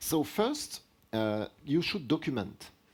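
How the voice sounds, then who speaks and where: He speaks with a French accent. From France. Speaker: product line director presenting at a tech seminar. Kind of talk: technical lecture with Q&A.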